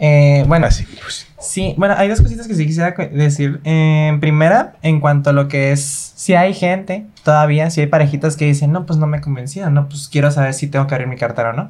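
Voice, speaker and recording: Amid noticeable background noise, a man talks at a fairly quick pace with hardly any pauses. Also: fairly high pitch for a man, ordinary pitch variation. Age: 20s. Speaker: dance choreographer. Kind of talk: casual interview.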